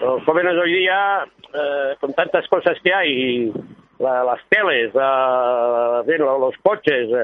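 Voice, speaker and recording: His intonation is lively and his pitch fairly high for a man. He speaks at a very slow pace. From Barcelona, Catalonia. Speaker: football club official. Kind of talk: casual interview. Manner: halting.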